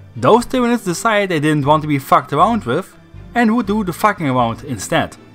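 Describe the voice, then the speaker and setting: Over music in the background, a man with fairly high pitch speaks with very wide pitch swings. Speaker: lore video narrator. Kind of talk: casual lore narration.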